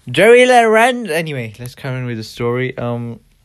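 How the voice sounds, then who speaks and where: A man's fairly high voice at a fairly slow pace, in a very clean recording with a silent background. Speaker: sneaker podcast host. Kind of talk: casual chat; reading news aloud. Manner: rambling, hesitant.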